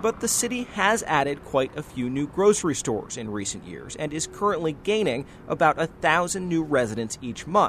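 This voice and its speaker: This voice moves at a moderate tempo. Its pitch swings very widely. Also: man, fairly high pitch for a man. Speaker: environment reporter. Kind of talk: scripted news report.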